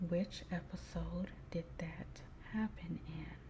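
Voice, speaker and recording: A soft-spoken woman talks in a calm tone at a very slow pace, with noticeable background noise behind her. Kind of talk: soft-spoken ASMR quiz. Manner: soft-spoken, slow, calm.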